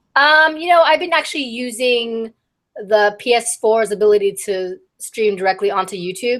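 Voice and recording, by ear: A woman with a fairly high pitch and ordinary pitch variation. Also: moderate pace, fairly bright tone.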